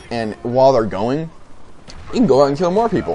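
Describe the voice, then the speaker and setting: Noticeable background noise runs through the clip. A man speaks fairly quickly. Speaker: gaming YouTuber. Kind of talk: gameplay commentary. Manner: halting, many fillers; casual.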